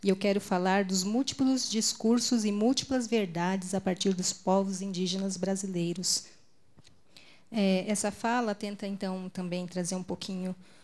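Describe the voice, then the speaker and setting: Over a very clean recording with a silent background, a woman's somewhat breathy voice holds fairly even intonation. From Brazil, Mato Grosso do Sul. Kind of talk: conference talk. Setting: stage at a pulpit with audience and interpreter. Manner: deliberately more restrained for the translator.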